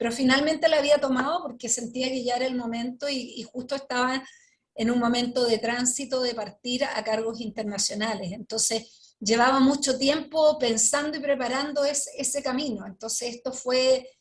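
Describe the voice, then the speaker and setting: Fairly even in intonation, a woman speaks at a high pitch. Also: moderate pace, hardly any pauses. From Chile, Santiago. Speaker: Justice minister, sociologist. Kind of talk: interview answer.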